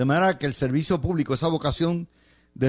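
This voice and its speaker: A man speaks with a Puerto Rican accent. Music plays in the background. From Puerto Rico. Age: 70s. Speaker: radio host and political analyst. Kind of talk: radio commentary monologue.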